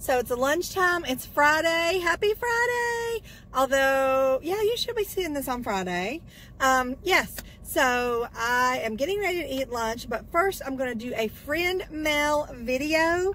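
Light background noise behind a woman with a high pitch, very wide pitch swings and a fairly slow pace. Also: dry sound with no echo. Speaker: vlogger. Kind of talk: casual vlog chat. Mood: cheerful, upbeat. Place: car.

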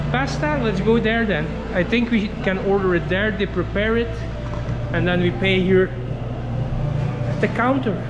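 There are long, frequent pauses as a man talks over loud background noise. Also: moderate pace. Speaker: travel vlogger. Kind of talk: casual vlog chat. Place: cafe. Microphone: phone near.

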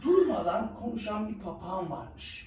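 The voice moves at a fairly slow pace with very wide pitch swings and a slightly mellow tone, with audible room echo.

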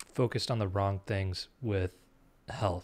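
A man speaks at a moderate pace with a fairly low pitch. His intonation stays fairly even. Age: 20s. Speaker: podcast interviewer. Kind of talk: interview. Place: home room. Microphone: studio mic.

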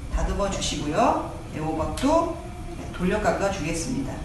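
This woman's voice carries audible room echo alongside noticeable background noise. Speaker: cooking instructor. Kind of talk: tutorial. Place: classroom.

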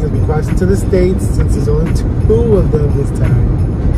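The sound is dry with no echo, with music in the background. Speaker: passenger vlogger. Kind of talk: casual vlog chat. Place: car. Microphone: phone near.

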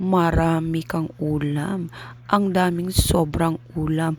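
A woman's fairly low voice with lively intonation at a very slow pace, amid noticeable background noise. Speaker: family vlogger. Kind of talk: vlog narration.

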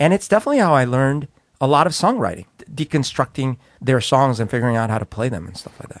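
A man with a Spanish accent talks very fast at a medium pitch, his intonation lively and his loudness swinging widely. The sound is dry and close, with no echo. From Colombia. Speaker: podcast co-host. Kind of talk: casual chat.

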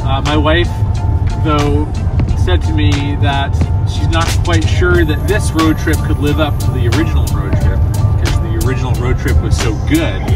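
Loud music plays behind a man whose dry, echo-free voice moves at a moderate pace with long, frequent pauses and ordinary pitch variation. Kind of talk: casual vlog chat. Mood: upbeat, playful. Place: car.

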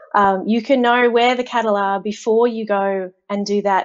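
A woman with an Australian accent, at a fairly slow pace and with fairly even intonation, against a quiet background. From Australia, central Queensland. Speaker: agtech data and software lead; guest. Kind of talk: interview. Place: home room.

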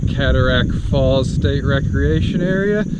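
Over loud background noise, a man speaks at a fairly slow pace, the sound dry with no echo. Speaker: travel vlogger. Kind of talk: casual vlog chat. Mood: cheerful, relaxed. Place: forest. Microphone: phone near.

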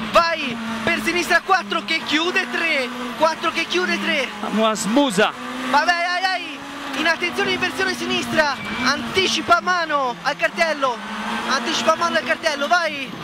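Long, frequent pauses break up the speech, which sounds dry with no echo over loud background noise. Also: fairly slow pace. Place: car. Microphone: headset.

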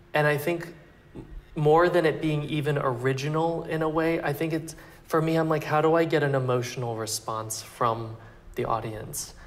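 A man speaks at a moderate pace with an American accent. His pitch variation is ordinary. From Texas (Plano); Texas. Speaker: fashion designer; interviewee. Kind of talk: interview. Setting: couture house salon, Paris. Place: home room. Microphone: lapel.

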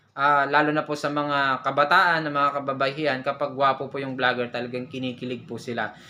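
Speaking fairly quickly with hardly any pauses, a man uses a fairly high, bright and sharp voice in a monotone, flat delivery. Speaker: vlogger. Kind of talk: tutorial.

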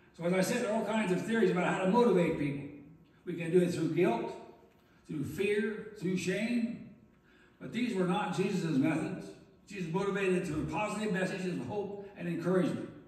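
Audible room echo surrounds a man with a high voice. He talks at a fairly quick pace with ordinary pitch variation. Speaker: pastor. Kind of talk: sermon. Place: church.

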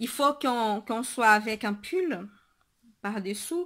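The background is quiet. A woman speaks at a very slow pace. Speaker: knitting podcaster. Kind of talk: casual video podcast monologue. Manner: halting, many fillers and repetitions. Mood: cheerful, warm. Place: home room. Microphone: webcam.

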